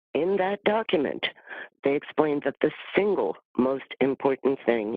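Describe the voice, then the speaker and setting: With an unremarkable speaking voice, a man talks at a moderate pace, fairly high in pitch, with lively intonation. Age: 60s. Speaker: community member giving public testimony. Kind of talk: public testimony. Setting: virtual meeting, audio only.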